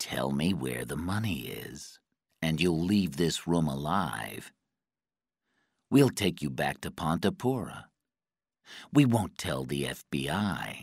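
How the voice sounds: A man's put-on character voice, extremely low with vocal fry and a slightly husky edge, big pitch swings, slow pace and long, frequent pauses, on a very clean recording with a silent background.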